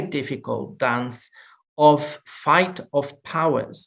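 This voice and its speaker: A man speaks with a Portuguese accent. His pitch is fairly high. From Portugal. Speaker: law professor and Jesuit priest. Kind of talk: lecture. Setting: video call. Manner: halting.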